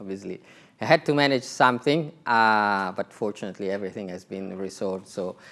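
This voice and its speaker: Delivered with an Italian accent, the speech moves at a fairly quick pace with ordinary pitch variation. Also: man. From Italy. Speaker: telecom executive. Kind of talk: conference talk.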